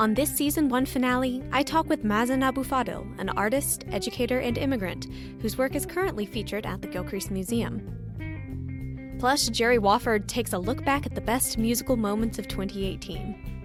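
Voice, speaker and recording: A woman talks at a moderate pace, hardly pausing, while music plays in the background. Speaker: podcast host. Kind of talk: podcast interview.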